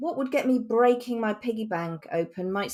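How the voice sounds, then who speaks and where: A woman with a slight Norfolk accent speaks with ordinary pitch variation on a very clean recording with a silent background. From England, Norfolk. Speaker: communications executive. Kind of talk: podcast conversation.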